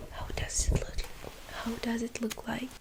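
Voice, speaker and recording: A woman whispers in a soft-spoken way. Noticeable background noise sits behind her. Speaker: ASMR creator. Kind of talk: ASMR tea shop roleplay. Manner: soft-spoken, whispery, slow.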